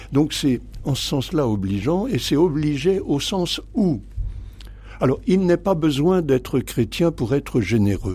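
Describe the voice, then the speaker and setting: The voice moves very slowly through very wide pitch swings, somewhat breathy and dark, mellow in tone. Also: man, fairly high pitch for a man. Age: 80s+. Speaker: priest and theology professor. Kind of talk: radio interview. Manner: halting, with many hesitations.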